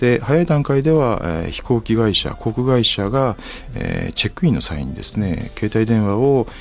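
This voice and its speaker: At a moderate pace and medium pitch, a man talks in a plain, everyday voice with lively intonation. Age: 60s. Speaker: company president. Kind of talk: interview. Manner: formal.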